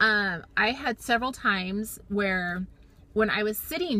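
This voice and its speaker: A woman's voice has a bright, sharp tone and ordinary pitch variation. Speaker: weight loss surgery vlogger. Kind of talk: personal video diary. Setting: in a car. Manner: fast.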